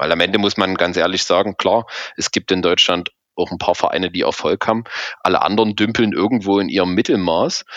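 A man talks at a fairly quick pace with a fairly low pitch and fairly even intonation. The sound is dry and close, with no echo. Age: 30s. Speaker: fan support activist. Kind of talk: interview. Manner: halting, many fillers.

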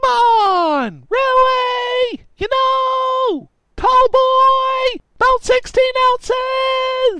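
A man shouting in a put-on character voice, extremely high-pitched and very slow. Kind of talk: comic overacting. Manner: shouting, insistent, oblivious.

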